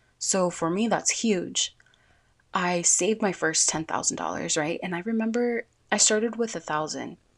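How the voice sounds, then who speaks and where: A woman talks at a moderate pace in an unremarkable speaking voice. Her pitch is medium with ordinary variation, over a quiet background. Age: 20s. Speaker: podcast host. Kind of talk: casual monologue.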